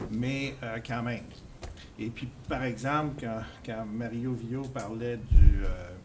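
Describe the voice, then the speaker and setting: A man speaks at a very slow pace with fairly even intonation, leaving long, frequent pauses. His loudness swings widely, and audible room echo is present. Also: medium pitch for a man. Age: 60s. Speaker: resident speaking at town meeting. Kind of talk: public meeting comment. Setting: public information meeting. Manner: halting, repeats words.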